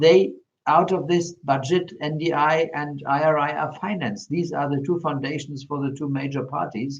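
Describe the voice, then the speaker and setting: A man with a German accent talks at a moderate pace and a fairly high pitch. His voice is somewhat breathy, with ordinary pitch variation. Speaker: politician. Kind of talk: panel discussion. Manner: halting, many fillers.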